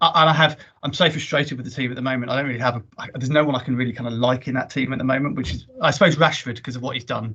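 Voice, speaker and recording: Rattling along at a very fast pace with hardly any pauses, a man with a southern English accent speaks at medium pitch in a bright, sharp tone with ordinary pitch variation. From Jersey. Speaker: business executive. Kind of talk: casual chat. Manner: animated.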